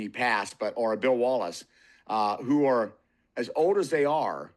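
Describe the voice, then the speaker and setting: Over a quiet background, a man with a normal speaking voice talks at medium pitch and a moderate pace, with ordinary pitch variation. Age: 60s. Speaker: martial artist and motorcycle rider. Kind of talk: casual chat.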